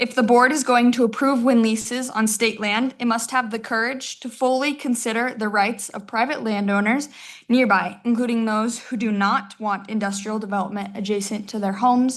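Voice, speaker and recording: A somewhat breathy woman's voice, fairly high-pitched, at a moderate pace with fairly even intonation over a quiet background. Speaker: rancher family member giving public comment. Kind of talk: prepared statement read aloud.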